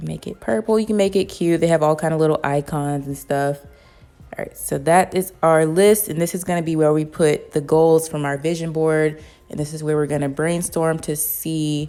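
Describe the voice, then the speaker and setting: Music plays in the background as a woman speaks at a moderate pace. Her pitch is very deep and low, and her intonation is fairly even. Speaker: lifestyle YouTuber. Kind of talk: tutorial. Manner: casual, chatty.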